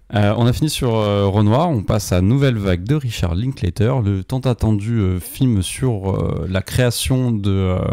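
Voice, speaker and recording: A man with a fairly low pitch and a dark, mellow tone speaks at a fairly slow pace, keeping very even loudness and ordinary pitch variation. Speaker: film critic podcast co-host. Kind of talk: casual film review discussion. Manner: hesitant, many fillers.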